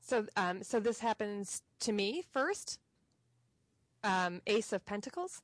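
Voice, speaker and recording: Speaking at a very slow pace with long, frequent pauses, this voice has a dry, close sound with no echo. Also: woman. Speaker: tarot student. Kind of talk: casual chat. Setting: video call. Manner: animated.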